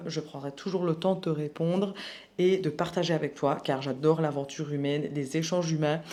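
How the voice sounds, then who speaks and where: A woman speaks at a moderate pace in a fairly low pitch. Her tone is dark and mellow, and her intonation fairly even. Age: 20s. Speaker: personal development youtuber. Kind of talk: personal testimony vlog. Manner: casual, hesitant with fillers.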